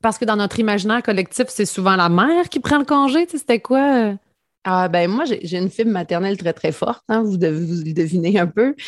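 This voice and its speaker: Moving at a fairly quick pace, a woman speaks in a medium pitch with very wide pitch swings. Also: quiet background. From Quebec, rural Lanaudière (Mandeville). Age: 40s. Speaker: entrepreneur and mother. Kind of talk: casual interview chat.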